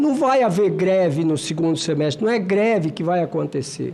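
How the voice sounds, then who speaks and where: A man talks at a fairly slow pace. His pitch sits high. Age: 60s. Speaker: senator. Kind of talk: committee speech. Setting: senate committee hearing. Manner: emphatic.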